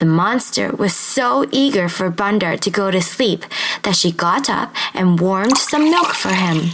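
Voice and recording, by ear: Someone is reading aloud in a natural voice, with lively intonation.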